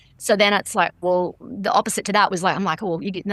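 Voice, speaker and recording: Speaking very fast in a bright, sharp tone, a woman with an Australian accent is recorded with a dry, close sound and no echo. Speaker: stunt performer. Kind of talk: interview answer.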